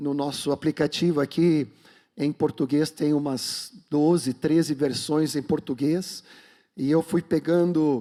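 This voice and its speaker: A man's fairly high voice with a dark, mellow tone at a very slow pace, on a very clean recording with a silent background. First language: Swedish (speaking Portuguese). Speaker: pastor. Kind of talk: sermon; prayer.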